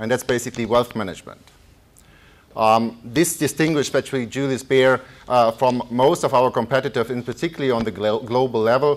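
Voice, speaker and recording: The speaker has a German accent and a fairly quick pace. The intonation stays fairly even. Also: man, medium pitch for a man. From Germany. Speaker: economist. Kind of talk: lecture. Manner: halting.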